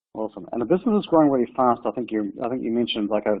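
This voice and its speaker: A man speaks very fast with a New Zealand accent. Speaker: company co-founder and CEO. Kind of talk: webinar panel discussion.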